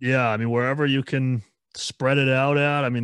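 This man has a plain, everyday voice at medium pitch. His intonation stays fairly even. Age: 20s. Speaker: musician in a band. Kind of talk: casual chat.

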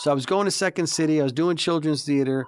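A fairly high-pitched man with a Chicago accent at a very fast pace, on a very clean recording with a silent background. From Chicago, south side. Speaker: morning radio host. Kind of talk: casual chat. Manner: animated.

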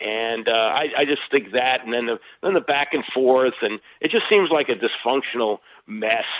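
Using an ordinary speaking voice, a man talks at a moderate pace with medium pitch and ordinary pitch variation. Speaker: sports radio host. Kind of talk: casual sports chat.

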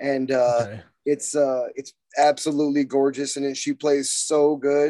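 Using a Texan accent, a man with a fairly high pitch and a dark, mellow tone talks at a moderate pace in a monotone, flat intonation, the sound dry and close with no echo. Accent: Texan American. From central Texas, San Marcos. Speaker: metal guitarist. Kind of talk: casual chat.

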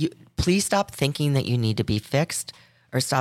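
Recorded very cleanly against a silent background, a woman speaks at a moderate pace, the sound dry and close with no echo. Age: 60s. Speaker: podcast co-host. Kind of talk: casual chat.

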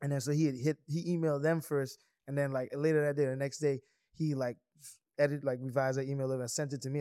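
A very fast man's voice in a Virgin Islands accent, fairly high in pitch, dark and mellow in tone, with monotone, flat intonation. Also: very clean recording, silent background. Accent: Virgin Islands Creole-tinged English. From US Virgin Islands, St. Croix. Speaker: entrepreneur. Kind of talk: casual chat.

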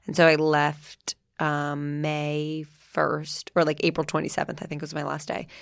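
In a very clean recording with a silent background, a woman with an American accent speaks fairly slowly in a very deep, low voice, flat and monotone in intonation but with big swings in loudness. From New Jersey. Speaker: podcast host and food influencer. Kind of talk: casual interview chat.

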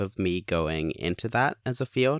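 A speaker with a Canadian accent, using ordinary pitch variation. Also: man. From Canada (Hamilton area), moved from England at eight. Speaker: musician and sound engineer. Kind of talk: casual interview. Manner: hesitant, many fillers.

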